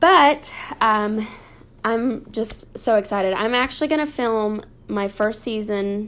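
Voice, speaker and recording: With an American accent, the voice shows ordinary pitch variation. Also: woman. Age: 20s. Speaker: podcast host. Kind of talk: casual chat. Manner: animated.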